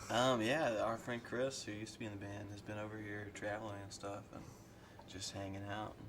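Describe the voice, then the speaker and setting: Speaking in a Kentucky accent, a man talks at a fairly quick pace with a fairly low pitch and a monotone, flat intonation, amid noticeable background noise and audible room echo. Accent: Southern US, Kentucky. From Kentucky, US South. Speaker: rock musician. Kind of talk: casual interview. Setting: underground bar.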